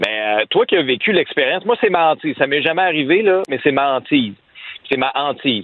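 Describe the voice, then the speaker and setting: A normal speaking voice with very even loudness, lively intonation and a fairly quick pace. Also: man, fairly high pitch for a man. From Quebec, Abitibi. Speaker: radio columnist. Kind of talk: radio commentary.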